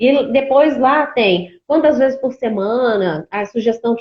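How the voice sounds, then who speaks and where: This woman's voice sits high in pitch. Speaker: cosmetics brand presenter. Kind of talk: live-stream tutorial.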